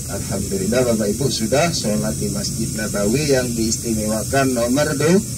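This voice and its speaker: Very wide pitch swings from a medium-pitched man at a moderate pace, with audible room echo and noticeable background noise. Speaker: pilgrimage tour guide. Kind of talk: guided tour talk. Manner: halting.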